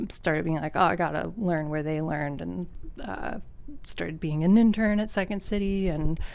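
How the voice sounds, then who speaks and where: This woman has a fairly low pitch and an American accent, with ordinary pitch variation. She talks at a moderate pace, and the room echo is audible. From US Northeast, Philadelphia area, Pennsylvania. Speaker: comedian and improv performer. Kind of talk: casual interview. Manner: hesitant, many fillers.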